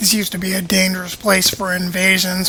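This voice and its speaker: Over noticeable background noise, a man speaks in a raised, projected voice at a high pitch. His intonation is monotone and flat. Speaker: gaming video creator. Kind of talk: gameplay commentary.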